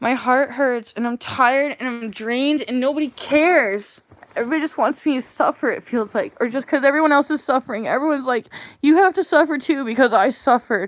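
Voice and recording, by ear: Putting on a character voice, a woman speaks in a high, whiny pitch at a very fast pace.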